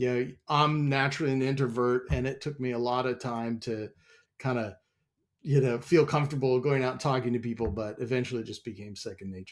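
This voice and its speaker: A man with an American accent at a medium pitch, fairly quick pace and fairly even intonation. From US Midwest, Wichita, Kansas. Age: 50s. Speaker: software company president. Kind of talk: interview.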